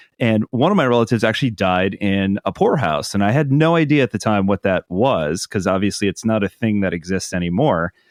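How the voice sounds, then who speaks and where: A man's fairly low voice at a fairly quick pace, with lively intonation and very even loudness. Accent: Midwestern American. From Ohio. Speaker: podcast host. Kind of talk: interview.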